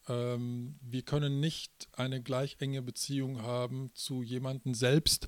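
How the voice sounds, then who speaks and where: Dark and mellow in tone, a man speaks very slowly at medium pitch. The sound is dry and close, with no echo. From Münsterland, Germany. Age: 40s. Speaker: pastor. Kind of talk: interview. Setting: conference venue. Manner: hesitant with fillers.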